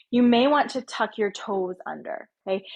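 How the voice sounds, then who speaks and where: With lively intonation, a woman speaks in a plain, everyday voice at a fairly high pitch. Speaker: yoga teacher. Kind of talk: guided yoga class.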